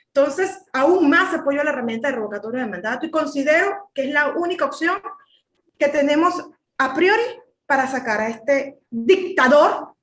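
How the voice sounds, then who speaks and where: Music plays behind a woman with a Venezuelan accent whose high, animated voice has lively intonation at a moderate pace. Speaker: political commentator. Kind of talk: panel discussion.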